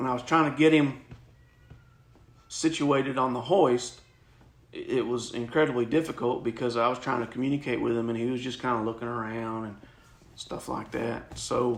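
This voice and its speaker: At a moderate pace with long, frequent pauses, a man speaks at a medium pitch with fairly even intonation. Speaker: military veteran, helicopter rescue crew. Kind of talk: interview answer. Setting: home.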